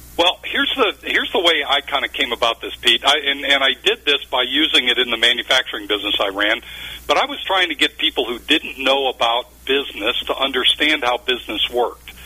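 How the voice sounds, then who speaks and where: Speaking fast with hardly any pauses, this man has a normal speaking voice and an American accent. His medium pitch carries ordinary pitch variation at a fairly quick pace. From Ohio, near Cleveland. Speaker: business consultant and author. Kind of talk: radio interview.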